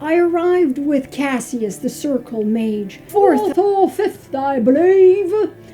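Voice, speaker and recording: A put-on character voice moves at a fairly slow pace with very wide pitch swings and hardly any pauses. Clear background noise runs underneath. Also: woman, high pitch for a woman. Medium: audio drama. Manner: prim, hesitant.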